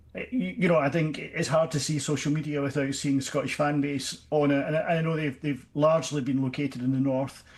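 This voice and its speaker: A man's fairly high, somewhat breathy voice at a fairly quick pace, with fairly even intonation. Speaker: podcast host. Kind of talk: radio interview. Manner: halting, many repetitions.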